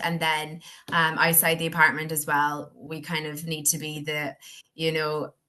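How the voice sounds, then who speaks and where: A woman with a Donegal accent speaks at a moderate pace, her fairly low voice monotone and flat. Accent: Irish, Donegal. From Ireland, Donegal. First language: Irish. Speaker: university student. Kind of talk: interview answer.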